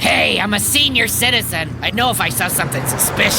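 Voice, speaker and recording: A cartoonish character voice at a middle pitch rattles along at a very fast pace over loud background noise. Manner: casual, wisecracking.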